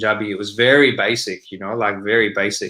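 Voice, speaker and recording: A fairly quick delivery with fairly even intonation in an Australian accent. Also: man. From Sydney, Australia. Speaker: rapper. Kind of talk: interview. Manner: casual, many fillers.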